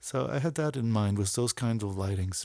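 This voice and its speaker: With lively intonation at a medium pitch, a man talks in a very clean recording against a silent background. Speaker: photographer and app developer. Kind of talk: video walkthrough of own photo work. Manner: hesitant, many fillers and restarts.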